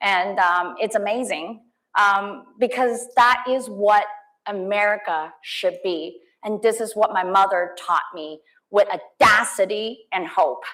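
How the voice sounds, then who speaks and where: At a very slow pace, a woman with a Cantonese accent speaks at medium pitch in a bright, sharp tone with ordinary pitch variation. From Hong Kong. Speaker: politician. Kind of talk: campaign speech. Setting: stage with audience. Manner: halting.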